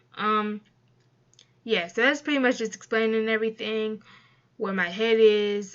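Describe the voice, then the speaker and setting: A woman with a fairly high voice speaks softly. Her pace is moderate. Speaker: YouTuber and streamer. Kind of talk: casual vlog talk to camera. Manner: soft-spoken; halting, many fillers.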